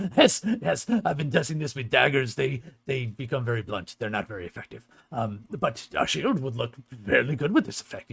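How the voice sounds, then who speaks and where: A man puts on a character voice at a medium pitch, keeping a moderate pace. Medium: actual play. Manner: friendly, plain-spoken.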